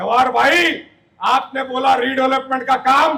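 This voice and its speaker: A man uses a raised, projected voice at an extremely high pitch. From India, Mira-Bhayandar near Mumbai. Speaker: politician. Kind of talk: campaign speech.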